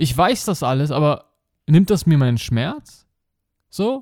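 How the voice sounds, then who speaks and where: The animated voice swings very widely in pitch at a fairly slow pace. The recording is very clean, with a silent background. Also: man, dry, close sound with no echo. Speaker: podcast host and life coach. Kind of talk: monologue podcast.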